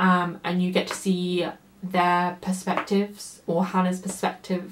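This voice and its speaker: Moderate pacing over noticeable background noise. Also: woman. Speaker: book reviewer. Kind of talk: casual book review vlog.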